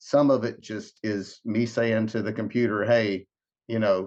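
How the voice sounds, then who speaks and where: A man with a Southern US accent, medium pitch, fairly even intonation and a fairly slow pace. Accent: Southern US (Georgia). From US South, Georgia (Savannah area). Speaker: singer-songwriter. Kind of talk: interview. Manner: halting, many fillers and repeats.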